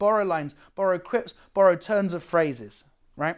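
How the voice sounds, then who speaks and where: A man speaks at a moderate pace in a high voice with lively intonation. The recording is very clean, with a silent background. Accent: British. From Britain. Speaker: comedian and workshop teacher. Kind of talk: workshop lecture.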